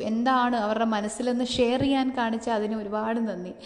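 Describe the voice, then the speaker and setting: A woman talks at a high pitch with fairly even intonation. Room echo is audible. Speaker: podcaster. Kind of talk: reflective motivational monologue.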